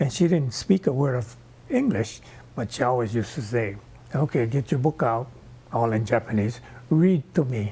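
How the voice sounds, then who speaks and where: A man with a Hawaiian accent, medium pitch and a dark, mellow, somewhat breathy tone, lively intonation, a moderate pace and long, frequent pauses. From Hawaii, Kauai. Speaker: oral history interviewee. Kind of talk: oral history testimony.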